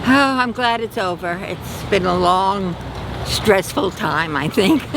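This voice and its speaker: Very slow speech plays out against noticeable background noise. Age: 80s+. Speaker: voter interviewed at polls. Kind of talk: street interview.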